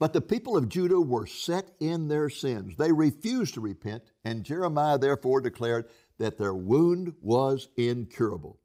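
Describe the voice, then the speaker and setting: With an American accent, a man speaks at a moderate pace with hardly any pauses. His medium-pitched voice has a dark, mellow tone and very wide pitch swings. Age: 80s+. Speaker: preacher and Bible teacher. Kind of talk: sermon. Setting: online streaming conference.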